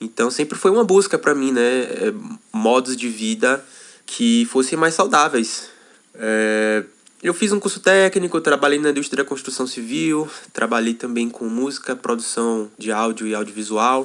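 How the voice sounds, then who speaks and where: At a fairly slow pace, a man talks in an ordinary speaking voice at a medium pitch. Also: lively intonation. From Brazil, Salvador, Bahia. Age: 20s. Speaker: intentional community member. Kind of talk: podcast interview.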